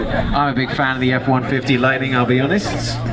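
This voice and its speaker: A man speaks fairly quickly while music plays in the background. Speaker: event presenter. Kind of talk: event announcement to a crowd.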